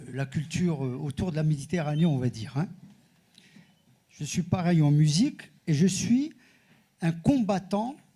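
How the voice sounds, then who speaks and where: Fairly slow and full of long, frequent pauses, a man's fairly high voice has a dark, mellow tone and lively intonation. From Morocco, Casablanca. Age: 70s. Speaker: audience member, composer. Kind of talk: audience question.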